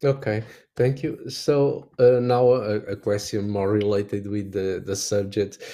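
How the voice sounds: Speaking at a fairly slow pace, a man uses a fairly low pitch with a dark, mellow tone and little pitch movement.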